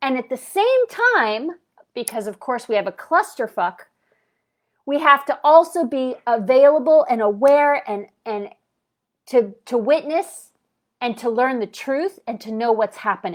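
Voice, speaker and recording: Loud and animated, a woman speaks at a high pitch and fairly slow pace with lively intonation and long, frequent pauses on a very clean recording with a silent background. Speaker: spiritual vlogger. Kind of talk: livestream rant. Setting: livestream.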